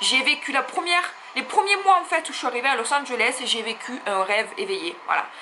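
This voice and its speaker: A woman speaks in a Marseille accent with ordinary pitch variation. Noticeable background noise runs underneath. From France, Marseille. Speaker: YouTuber, plus-size fashion blogger. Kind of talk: personal confession vlog. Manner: hesitant, many fillers.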